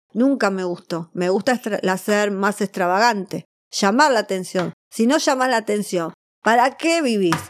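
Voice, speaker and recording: In a very clean recording with a silent background and a dry, close sound without echo, a woman with a plain, everyday voice speaks fairly slowly at medium pitch with lively intonation. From Argentina, Buenos Aires. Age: 40s. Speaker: Madonna impersonator and performer. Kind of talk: interview. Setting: studio.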